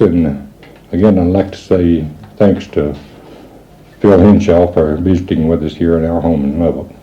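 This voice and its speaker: Noticeable background noise and audible room echo surround a man speaking at a fairly slow pace with a very deep, low pitch. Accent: West Texas. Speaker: parent of a late singer. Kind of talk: message to listeners. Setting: own home. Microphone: old amateur recording, poor quality.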